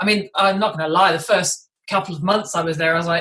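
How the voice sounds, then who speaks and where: A woman speaks with a British accent. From England, London. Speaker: vegan athlete, ex personal trainer. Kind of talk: interview.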